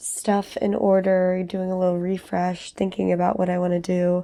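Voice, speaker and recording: Her voice sits at medium pitch with a dark, mellow tone. The woman speaks at a moderate pace with monotone, flat intonation. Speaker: art YouTuber. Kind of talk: voiceover narration of painting video. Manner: casual, conversational.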